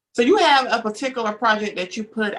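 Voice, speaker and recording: A woman speaks with a Southern accent. Her pitch is fairly high. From US South. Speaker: talk show host. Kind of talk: interview.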